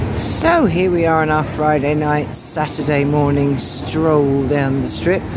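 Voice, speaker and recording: A woman speaks at a very deep, low pitch in a monotone, flat intonation, fairly slowly with hardly any pauses, amid audible room echo and noticeable background noise. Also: very even loudness. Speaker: travel vlogger. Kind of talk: casual vlog narration. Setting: walking outdoors on the Strip. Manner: chatty, hesitant fillers; loud.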